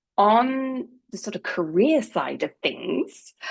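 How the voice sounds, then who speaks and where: A woman with an English accent and very wide pitch swings. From England. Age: 50s. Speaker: marketing professional and speaker. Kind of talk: talk to a community group.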